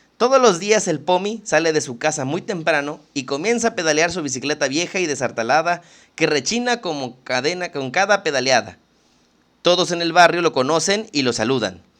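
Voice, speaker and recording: Lively intonation from a man with a fairly high pitch over a quiet background. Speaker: literature podcast host. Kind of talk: casual chat; reading aloud. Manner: fast.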